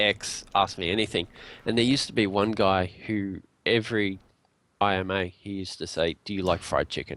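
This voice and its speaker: With an Australian accent, a man talks at a moderate pace and fairly low pitch. His intonation is fairly even, on a very clean recording with a silent background. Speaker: indie game developer. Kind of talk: casual chat. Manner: hesitant, many fillers.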